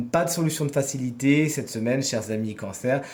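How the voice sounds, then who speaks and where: Over noticeable background noise, a man speaks at a fairly quick pace in a fairly high pitch, with ordinary pitch variation. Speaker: tarot reader. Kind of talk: weekly horoscope tarot reading.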